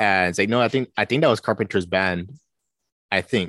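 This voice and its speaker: With an American accent, a man talks at a fairly quick pace with ordinary pitch variation, the sound dry and close with no echo. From Minnesota. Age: 20s. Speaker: horror author. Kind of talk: casual interview.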